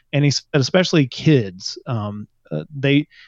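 The sound is dry and close with no echo as a man with an unremarkable speaking voice talks at medium pitch with ordinary pitch variation. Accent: American. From small US town. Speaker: novelist and podcaster. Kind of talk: casual chat.

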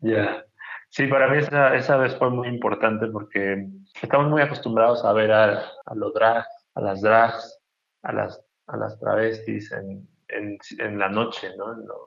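At a fairly slow pace, a man speaks at medium pitch with big swings in loudness. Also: ordinary pitch variation. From Mexico, Chiapas (Tuxtla Gutiérrez). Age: 30s. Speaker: painter. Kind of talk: interview. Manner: halting, many repetitions.

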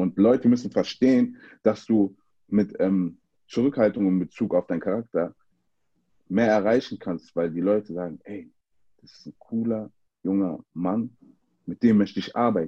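With long, frequent pauses and big swings in loudness, a man speaks at a moderate pace in a dark, mellow tone, his pitch fairly low with ordinary variation, the sound dry and close with no echo. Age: 30s. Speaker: American football player and activist. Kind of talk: casual chat.

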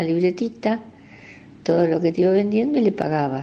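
At a moderate pace, a woman speaks at medium pitch with lively intonation. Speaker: local resident sharing memories. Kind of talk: recorded personal reminiscence.

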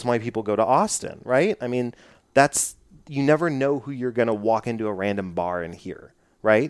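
In an unremarkable speaking voice, a man with an American accent talks at medium pitch and moderate pace in a very clean recording with a silent background. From Texas (Dallas). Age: 30s. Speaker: podcast host. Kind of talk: casual interview; scripted show intro.

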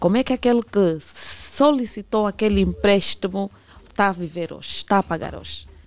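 A woman with an unremarkable speaking voice talks at a moderate pace and medium pitch, in a dry, close sound with no echo. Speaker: consumer rights legal expert. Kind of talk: radio interview.

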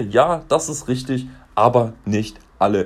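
A man speaks in a somewhat breathy voice. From Franconia, Germany (Fürth). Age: 20s. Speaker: insurance agent and podcaster. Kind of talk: casual solo podcast monologue.

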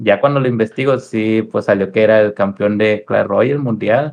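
In an ordinary speaking voice, a man talks at a fairly slow pace with ordinary pitch variation. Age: 20s. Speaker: streamer. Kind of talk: casual chat.

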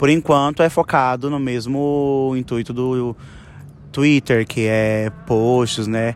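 Fairly even intonation in a normal speaking voice. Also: man. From São Paulo, West Zone. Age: 20s. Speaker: dancer. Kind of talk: interview.

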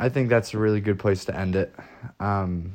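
Speaking at a moderate pace, a man has an unremarkable speaking voice pitched fairly low. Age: 20s. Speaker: podcast co-host. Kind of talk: casual chat.

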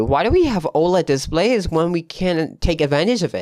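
A man with a non-native accent talks at a moderate pace in a very clean recording with a silent background. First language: not English. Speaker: tech podcast host. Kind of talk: solo tech news podcast. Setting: home studio with new mic. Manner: casual, with fillers.

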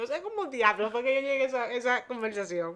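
A woman speaks in a high voice. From Houston, Texas. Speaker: podcast co-host. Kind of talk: casual chat.

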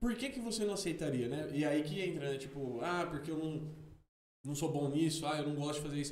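A man speaks at a fairly quick pace with a fairly high pitch. His pitch varies in an ordinary way, and audible room echo is present. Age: 30s. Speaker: podcast co-host. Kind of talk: casual chat.

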